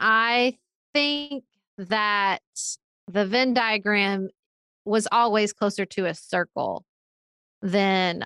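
The woman speaks with a Kentucky accent in a bright, sharp tone. The recording is very clean, dry and close, with a silent background and no echo. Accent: Southern US, Kentucky. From Paducah, western Kentucky. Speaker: political podcaster, author. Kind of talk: interview.

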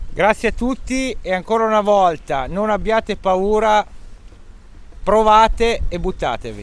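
This man has a high pitch with ordinary variation. He goes at a fairly slow pace with long, frequent pauses. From Italy, Romagna (Cesenatico). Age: 40s. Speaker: expat family father, former warehouse manager. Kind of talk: casual interview.

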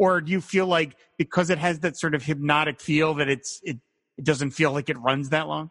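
A man with a plain, everyday voice and fairly high pitch speaks at a fairly quick pace, his intonation fairly even and the sound dry and close with no echo. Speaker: podcast host. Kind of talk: casual interview chat.

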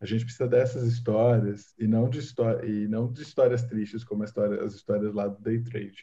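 A somewhat breathy, dark, mellow tone in a monotone, flat intonation, with hardly any pauses. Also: man, medium pitch for a man, moderate pace. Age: 20s. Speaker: technology journalist. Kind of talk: casual chat.

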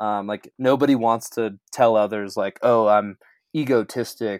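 On a very clean recording with a silent background and a dry, close sound with no echo, a man speaks in an ordinary speaking voice with a General American accent, medium pitch and fairly even intonation. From Colorado. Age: 30s. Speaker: ski mountaineer. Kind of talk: interview testimony.

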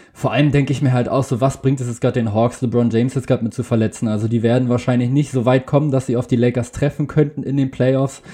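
Very fast and with hardly any pauses, a man talks in a flat monotone at a medium pitch, sounding somewhat breathy. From Berlin, Germany. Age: young. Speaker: basketball podcaster. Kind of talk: casual chat.

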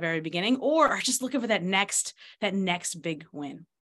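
A woman speaks with an American accent at a fairly low pitch. Her intonation is lively. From New York. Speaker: sales coach. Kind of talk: interview.

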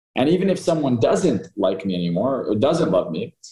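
The voice has a dark, mellow tone, somewhat breathy, and moves at a fairly quick pace. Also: man. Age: 20s. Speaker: hypnotist and coach. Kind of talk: podcast interview.

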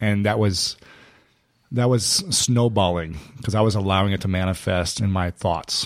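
A man's plain, everyday voice at a moderate pace, with fairly even intonation and very even loudness. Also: fairly low pitch for a man. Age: 30s. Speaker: podcast host. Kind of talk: casual interview. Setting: studio.

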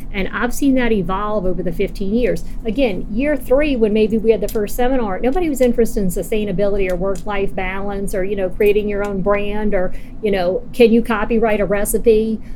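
A woman's medium-pitched voice at a fairly quick pace, with fairly even intonation, hardly any pauses and audible room echo. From New Orleans. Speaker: cocktail event founder. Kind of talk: casual interview. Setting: hotel in New Orleans.

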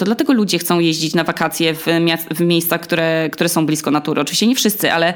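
This is a plain, everyday voice from a woman. She talks at a fairly quick pace with ordinary pitch variation. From Poland, Olsztyn (Warmia). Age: 30s. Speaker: podcaster. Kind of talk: interview.

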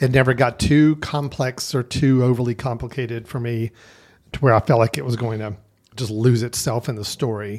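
In a very clean recording with a silent background, a man with an unremarkable speaking voice talks at a moderate pace, his medium pitch following fairly even intonation. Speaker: film podcast host. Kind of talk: casual chat.

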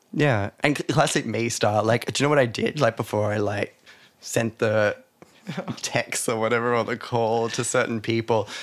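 Moderate pace and medium pitch from a man with an Australian accent, his intonation fairly even. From Australia, New South Wales (Hunter region). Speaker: dancer and choreographer. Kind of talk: interview.

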